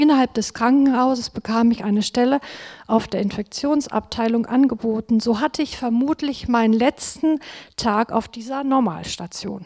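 A woman's fairly high voice at a moderate pace, with ordinary pitch variation and a dry, close sound free of echo. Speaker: nurse. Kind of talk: testimony. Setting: church service. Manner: reading from notes.

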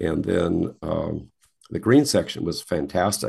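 A man speaks with an American accent. He goes at a fairly slow pace. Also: quiet background. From Wisconsin, US Midwest. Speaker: retired golf handicapping administrator and navy veteran. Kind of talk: interview.

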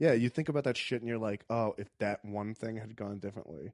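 In an unremarkable speaking voice, a man of medium pitch talks at a fairly quick pace, the sound dry and close with no echo and the background quiet. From US South, Richmond, Virginia. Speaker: stand-up comedian. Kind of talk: casual chat.

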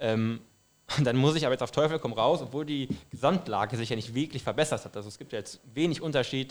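Speaking with a Saarland accent, a man talks at a very fast pace with big swings in loudness. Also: medium pitch for a man, ordinary pitch variation. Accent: speaks some Saarland dialect. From western Ruhr area, Germany (Duisburg suburb). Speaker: football fan. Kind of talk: casual chat.

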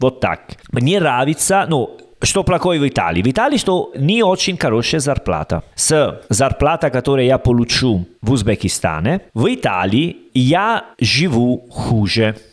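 This speaker has an Italian accent and vocal fry, with very wide pitch swings at a fairly slow pace. The recording is very clean, with a silent background. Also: man, medium pitch for a man. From Italy. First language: Italian (speaking Russian). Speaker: podcast co-host. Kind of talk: casual chat. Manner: halting.

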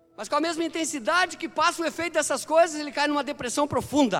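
A man speaks at an extremely high pitch in a raised, projected voice, animated in tone and very fast in pace. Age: 50s. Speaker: pastor. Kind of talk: sermon.

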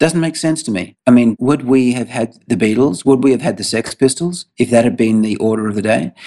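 A man with an Australian accent speaks at a fairly quick pace with hardly any pauses. His tone is dark and mellow, at a medium pitch with ordinary pitch variation. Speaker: tech startup CEO. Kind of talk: interview.

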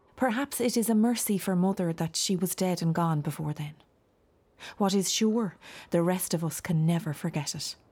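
The voice is somewhat breathy, with an Irish accent. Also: woman, medium pitch for a woman, ordinary pitch variation, moderate pace. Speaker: voice actor playing a ghost. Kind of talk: dramatized audiobook monologue of a ghost recounting her family's tragedy. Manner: mournful, lamenting with heavy sighs; confiding, hushed and intimate.

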